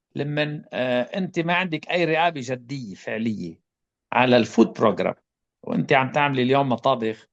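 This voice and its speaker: Against a quiet background, a man with an Arabic accent talks with lively intonation. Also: medium pitch for a man, moderate pace. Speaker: public health expert. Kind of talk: panel discussion answer.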